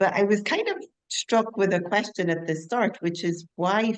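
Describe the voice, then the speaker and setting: A woman with a Scottish accent, at a moderate pace and with ordinary pitch variation. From Scotland. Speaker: conference attendee asking questions. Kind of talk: audience question. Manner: polite, formal.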